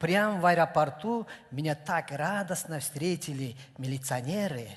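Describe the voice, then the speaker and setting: Speaking with a Kyrgyz accent, a man uses a fairly high pitch at a fairly slow pace. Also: ordinary pitch variation. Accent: Kyrgyz accent in Russian. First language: Kyrgyz (speaking Russian). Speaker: comedian. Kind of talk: stand-up. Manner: halting.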